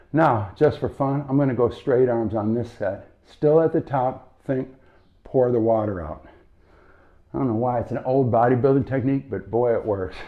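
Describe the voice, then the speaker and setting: A man uses an ordinary speaking voice at medium pitch, moving at a moderate pace with ordinary pitch variation. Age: 60s. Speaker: strength coach. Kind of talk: follow-along workout instruction.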